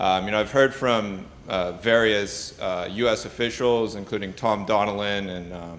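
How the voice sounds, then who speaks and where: Speaking in an American accent at a moderate pace, the voice keeps a fairly even intonation, with audible room echo around it. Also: man. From United States. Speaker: postgraduate student asking a question. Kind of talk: conference Q&A question. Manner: halting, many fillers.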